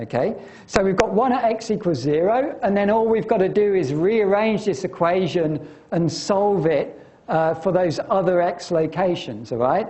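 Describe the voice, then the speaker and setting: Heard through audible room echo and noticeable background noise, a man with a high voice speaks with lively intonation at a very even loudness. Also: moderate pace. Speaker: university lecturer. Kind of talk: lecture. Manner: halting, many fillers.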